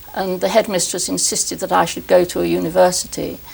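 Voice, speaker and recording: Over noticeable background noise, a woman with a southern English accent talks at a very fast pace. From London, England. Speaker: historian. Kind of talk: interview conversation. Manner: halting.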